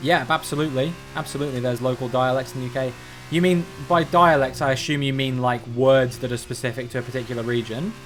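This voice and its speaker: With a southern English accent, the speaker talks at a very fast pace over noticeable background noise. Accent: generic southern English. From England, Cornwall. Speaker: streamer. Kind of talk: live gaming stream chat.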